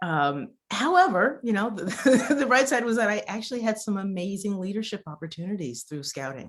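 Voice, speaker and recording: With an American accent, a woman speaks at a medium pitch and a moderate pace. Her pitch swings very widely. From US Midwest, near Columbus, Ohio. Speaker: university educator. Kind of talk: interview conversation. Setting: video call.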